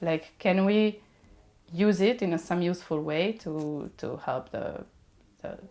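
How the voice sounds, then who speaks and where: With a Serbian accent, a woman speaks at a fairly slow pace in a dark, mellow tone, her fairly low pitch showing ordinary variation between long, frequent pauses. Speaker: mechatronics engineer. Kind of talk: podcast interview. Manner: hesitant, many fillers.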